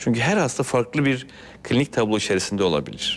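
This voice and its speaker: This man speaks at a fairly quick pace with ordinary pitch variation. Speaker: transplant surgeon. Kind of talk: TV health interview. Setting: studio. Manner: formal. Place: studio. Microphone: lapel.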